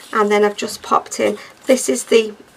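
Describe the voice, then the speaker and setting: A woman talks at a moderate pace. Background noise can be clearly heard. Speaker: crafter, junk journal maker. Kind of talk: craft tutorial walkthrough. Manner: casual, chatty.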